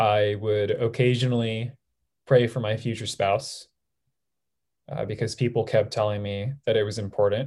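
Somewhat breathy, a man with an American accent speaks at a moderate pace and medium pitch with fairly even intonation, in a very clean recording with a silent background. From Southern California. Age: 20s. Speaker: nurse. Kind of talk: testimony.

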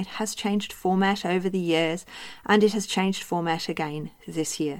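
A woman with a New Zealand accent speaks at a moderate pace with a medium pitch and ordinary pitch variation. The recording is very clean, with a silent background. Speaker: naturopath and practitioner mentor. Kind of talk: solo podcast monologue.

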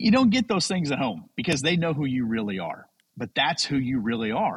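In a dry, close sound with no echo, a man with an unremarkable speaking voice talks at a fairly quick pace and medium pitch with lively intonation. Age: 40s. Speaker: pastor and men's podcast creator. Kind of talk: interview. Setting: video call.

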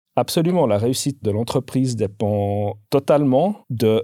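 Against a silent background on a very clean recording, a man speaks at medium pitch with a dark, mellow tone. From Switzerland, canton of Vaud. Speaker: industry sales director. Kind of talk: interview. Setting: studio.

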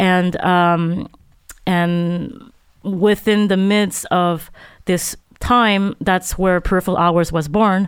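At a very slow pace, a woman speaks at a medium pitch with fairly even intonation and very even loudness. The recording is very clean, with a silent background. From Montreal, Quebec. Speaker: artist and filmmaker. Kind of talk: interview.

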